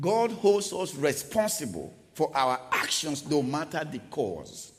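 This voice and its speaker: A man talks at a fairly slow pace, his pitch swinging very widely. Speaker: preacher. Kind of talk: sermon. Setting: church. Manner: animated.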